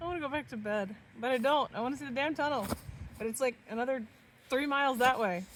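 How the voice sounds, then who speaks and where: Loud and high-pitched, a woman talks at a very fast pace with ordinary pitch variation. Her speech is broken by long, frequent pauses. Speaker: vlogger. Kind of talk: casual chat. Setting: outdoors.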